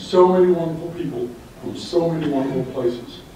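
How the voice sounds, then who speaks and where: A man with an American accent talks at a moderate pace amid audible room echo and noticeable background noise. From US South, Orlando, Florida. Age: 70s. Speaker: club member speaker, retired librarian. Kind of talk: speech to club audience.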